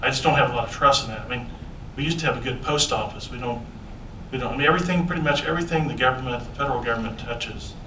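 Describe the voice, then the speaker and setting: Noticeable background noise and audible room echo surround a man speaking very fast. His medium-pitched voice shows ordinary pitch variation. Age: 60s. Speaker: city council member. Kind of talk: council meeting discussion. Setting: city council meeting. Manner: halting.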